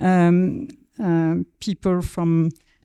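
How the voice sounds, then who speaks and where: Her dark, mellow tone comes through a very clean recording with a silent background and a dry, close sound with no echo, the speaker a woman. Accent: French. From France. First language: French. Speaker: agricultural researcher. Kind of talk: conference panel talk.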